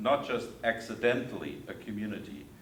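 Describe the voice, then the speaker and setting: With a German accent, the speaker goes at a fairly slow pace amid audible room echo and noticeable background noise. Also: man. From Germany. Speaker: theologian and lecturer. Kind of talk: lecture.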